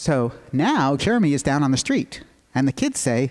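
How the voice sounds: What comes through is a natural reading voice.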